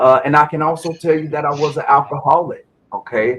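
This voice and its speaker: At a moderate pace, a man talks with a South Carolina accent. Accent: Southern US (South Carolina), noticeable. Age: 40s. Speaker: Navy veteran and cannabis grower. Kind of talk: interview testimony.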